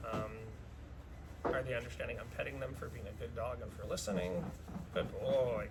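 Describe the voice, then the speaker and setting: In a room with audible echo, a man speaks at a moderate pace with big swings in loudness and long, frequent pauses. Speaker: dog trainer. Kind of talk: tutorial.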